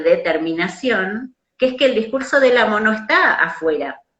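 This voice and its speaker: A woman in a Rioplatense accent with very wide pitch swings. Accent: Argentine Rioplatense Spanish. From Argentina. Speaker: psychoanalyst. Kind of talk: conversational lecture on psychoanalytic theory.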